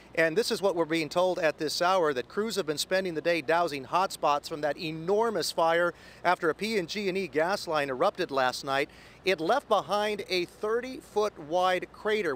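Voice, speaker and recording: High-pitched, a man speaks with ordinary pitch variation. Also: moderate pace, dry sound with no echo. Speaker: TV news anchor and reporter. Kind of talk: TV news anchor delivery. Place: street. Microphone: handheld.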